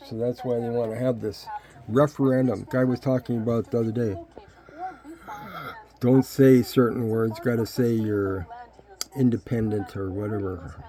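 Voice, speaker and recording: A man talks at a medium pitch and moderate pace, with ordinary pitch variation and long, frequent pauses. There is noticeable background noise. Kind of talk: casual commentary on a playing video.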